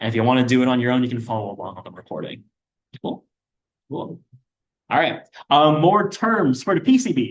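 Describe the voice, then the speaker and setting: Lively in intonation, a man talks fairly quickly at a medium pitch with big swings in loudness. He leaves long, frequent pauses. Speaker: student workshop instructor. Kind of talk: lecture. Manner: fast.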